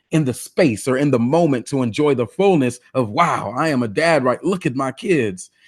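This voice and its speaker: The speaker is a man with a medium pitch. The recording is very clean, with a silent background. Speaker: guest motivational speaker. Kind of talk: interview. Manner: halting, self-correcting.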